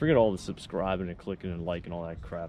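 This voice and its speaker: The sound is dry with no echo, over light background noise. A man talks at a fairly quick pace. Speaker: vlogger. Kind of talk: casual vlog chat. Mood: relaxed, joking. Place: waterside. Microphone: phone near.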